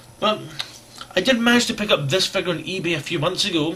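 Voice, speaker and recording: A man with a Scottish accent mumbles over noticeable background noise. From Scotland. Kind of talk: casual talk to camera. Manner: rambling, mumbling.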